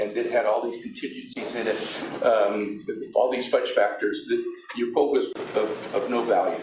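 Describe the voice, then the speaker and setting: Audible room echo surrounds the voice. It belongs to a man speaking at a moderate pace. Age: 70s. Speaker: business owner protesting property valuation. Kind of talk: testimony at public hearing. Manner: halting, many fillers and repeats.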